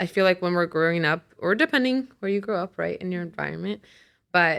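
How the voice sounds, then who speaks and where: A woman speaks at a very fast pace, her pitch fairly low and her intonation lively. The recording is very clean, with a silent background. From Puerto Rico. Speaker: therapist. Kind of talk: casual chat.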